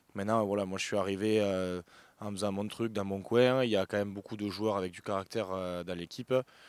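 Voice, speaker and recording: A man's fairly low, monotone voice with flat intonation at a fairly quick pace, on a very clean recording with a silent background. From southern France, Béziers. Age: 30s. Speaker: professional rugby player. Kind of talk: interview. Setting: outdoors at stadium. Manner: halting, many fillers.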